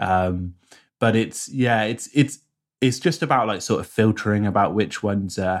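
A man with a British accent speaks at a moderate pace in a fairly low voice with ordinary pitch variation, recorded very cleanly against a silent background. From rural UK. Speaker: productivity YouTuber and app maker. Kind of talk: casual interview chat.

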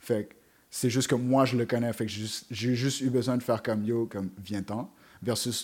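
An ordinary speaking voice goes at a moderate pace with fairly even intonation and big swings in loudness. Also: man, medium pitch for a man. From Montreal, Quebec (east end, around Montréal-Nord). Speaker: web series host and rapper. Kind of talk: casual chat.

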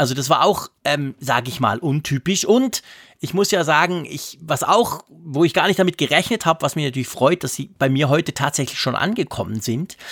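An unremarkable speaking voice from a man, fairly high-pitched with lively intonation, at a moderate pace, with a dry, close sound and no echo. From Switzerland. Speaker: tech podcast co-host. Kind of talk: casual chat. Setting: remote recording, separate locations.

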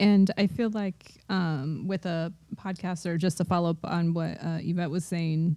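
A woman speaks at a moderate pace in a fairly low voice, her tone dark and mellow and her intonation fairly even. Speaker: mother scholar and podcast co-host. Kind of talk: casual roundtable chat. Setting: in-person group recording in an office.

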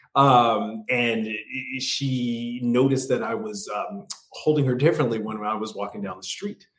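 A man speaks with an American accent at a medium pitch. His voice swings very widely in pitch. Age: 40s. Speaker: actor and comedian living with MS, YouTuber. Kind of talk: casual interview.

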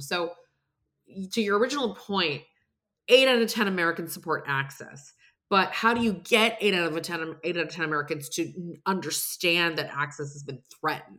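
A woman with an ordinary speaking voice talks at a fairly quick pace in a fairly low pitch, with ordinary pitch variation and big swings in loudness. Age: 40s. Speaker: president of a reproductive rights advocacy group. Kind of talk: casual political interview.

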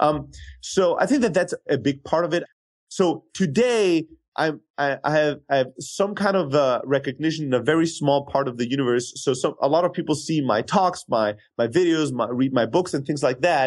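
At a moderate pace and very even loudness, a man with a German accent speaks fairly high with ordinary pitch variation over a quiet background. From Germany, Greek family. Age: 30s. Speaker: sales software entrepreneur. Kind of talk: interview.

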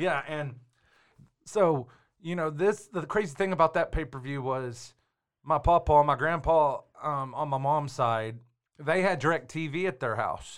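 On a very clean recording with a silent background, a man with an American accent speaks at a fairly high pitch and a fairly slow pace, with ordinary pitch variation and long, frequent pauses. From Texas. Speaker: podcast host, wrestling personality. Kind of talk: casual chat.

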